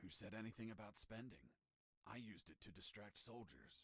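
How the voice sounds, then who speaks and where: A man's put-on character voice, medium in pitch, with ordinary pitch variation and a fairly quick pace. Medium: video game.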